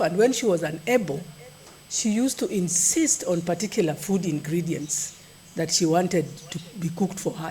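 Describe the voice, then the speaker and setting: At a moderate pace, a woman with a fairly low voice speaks with ordinary pitch variation against noticeable background noise. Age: 60s. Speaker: nutrition expert giving a keynote. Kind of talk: keynote speech at a conference. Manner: conversational, with some halting repetitions.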